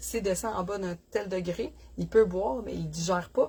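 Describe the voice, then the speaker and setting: The speaker has a Quebec accent and talks at a moderate pace. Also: woman. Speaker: dog breeder. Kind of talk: casual livestream chat. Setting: live stream from puppy nursery. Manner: casual, chatty with fillers.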